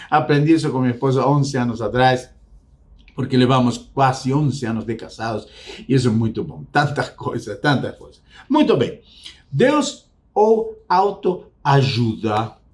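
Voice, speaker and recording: Somewhat breathy and medium in pitch, a man speaks fairly slowly with lively intonation and big swings in loudness. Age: 60s. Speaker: psychologist and faith-based self-help speaker. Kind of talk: motivational talk to camera. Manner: reflective, repetitive emphasis.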